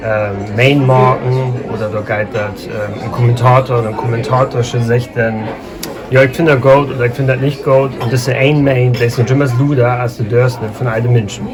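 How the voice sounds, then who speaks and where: Speaking at a moderate pace in a medium-pitched, monotone, flat voice, a man is heard with audible room echo and noticeable background noise. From northern Germany, Schleswig-Holstein near Hamburg. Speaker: linguist, Low German speaker. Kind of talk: casual interview. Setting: café.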